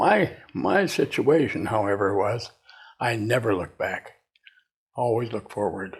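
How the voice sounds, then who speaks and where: A man with an American accent speaks at a fairly slow pace, his medium-pitched voice somewhat breathy. His pitch varies in an ordinary way, broken by long, frequent pauses. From US Midwest, northern Wisconsin. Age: 90s. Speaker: retired inventor and entrepreneur. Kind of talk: interview. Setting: at his home.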